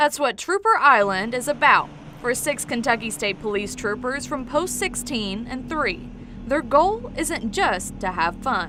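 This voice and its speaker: Music sits in the background as a woman speaks at a fairly slow pace. Her high voice carries lively intonation. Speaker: television news reporter. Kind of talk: TV news package narration.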